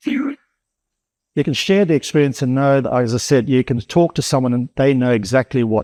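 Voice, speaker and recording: Over a quiet background, a man with an Australian accent speaks in a dark, mellow tone with ordinary pitch variation. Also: dry, close sound with no echo. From Darwin, Australia. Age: 60s. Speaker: cyclone survivor. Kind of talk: interview. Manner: halting.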